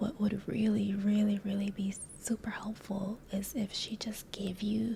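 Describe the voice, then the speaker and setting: Whispering in a gentle tone, a soft-spoken voice moves at a fairly slow pace over noticeable background noise. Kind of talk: ASMR therapist role play, soft-spoken. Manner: soft-spoken, gentle, whispery.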